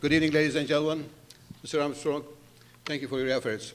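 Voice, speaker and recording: A man with a fairly high voice, fairly even intonation and a non-native accent. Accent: foreign accent, noticeable. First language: not English. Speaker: politician. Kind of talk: political debate opening statement.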